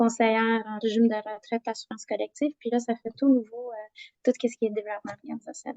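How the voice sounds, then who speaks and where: A woman's fairly high-pitched voice, dark and mellow in tone, with monotone, flat intonation and a dry, close sound with no echo. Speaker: HR consultant. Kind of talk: group introduction in a discussion meeting. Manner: halting, many fillers.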